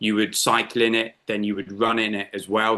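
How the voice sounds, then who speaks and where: A man speaks at medium pitch with a bright, sharp tone. His pace is moderate, and the background is quiet. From southern England, Weymouth in Dorset. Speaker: business owner. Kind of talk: interview.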